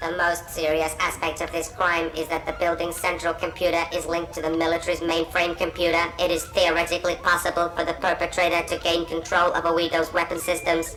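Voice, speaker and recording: A put-on character voice at a middle pitch and fairly quick pace, with clear music in the background. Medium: fan dub. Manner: formal, precise, emotionless.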